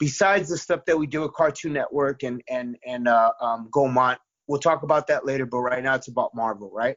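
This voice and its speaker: Here is a man with a normal speaking voice and a fairly high pitch. He talks at a fairly quick pace with ordinary pitch variation. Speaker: comic book writer and musician. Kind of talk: interview. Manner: many fillers and repetitions.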